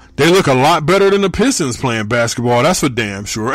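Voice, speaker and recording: This man's American accent carries pitch that swings very widely. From Michigan. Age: 30s. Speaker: podcast host. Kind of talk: casual solo podcast monologue.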